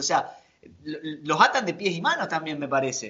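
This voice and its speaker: A man talks with a Rioplatense accent. His pace is fairly slow. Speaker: podcast co-host. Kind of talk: casual chat. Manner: halting, repeats words.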